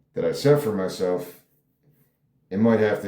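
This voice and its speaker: A man with a dark, mellow tone speaks at a moderate pace. There is audible room echo. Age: 40s. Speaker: screenwriter and artist. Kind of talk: casual monologue. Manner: halting.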